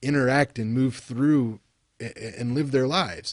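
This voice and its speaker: A man speaks with an American accent in a dark, mellow tone at a moderate pace. His pitch varies in an ordinary way, and the background is quiet. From West Virginia, Appalachia. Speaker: university lecturer. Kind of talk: recorded lecture. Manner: casual, halting with fillers. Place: home room. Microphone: webcam.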